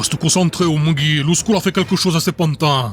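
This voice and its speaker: Using a put-on character voice, a man speaks at a fairly quick pace with a fairly high pitch. Clear background noise runs underneath. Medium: read story. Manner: gruff, blunt.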